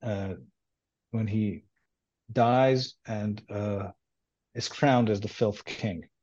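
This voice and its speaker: With an Israeli accent, a man speaks at a very slow pace in a dark, mellow tone with ordinary pitch variation over a quiet background. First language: Hebrew. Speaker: doctoral student. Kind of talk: interview. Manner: halting.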